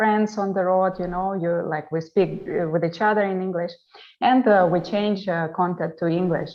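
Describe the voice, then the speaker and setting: A woman talks with a Russian accent and fairly even intonation. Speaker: travel vlogger and interior designer. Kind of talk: online panel interview. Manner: halting.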